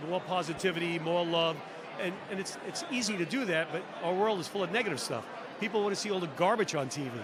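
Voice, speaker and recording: Amid noticeable background noise and audible room echo, a man with a high pitch speaks at a very fast pace in an animated tone. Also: ordinary pitch variation. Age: 60s. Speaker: former reality show contestant. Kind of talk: casual chat. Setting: live stream at podcast convention.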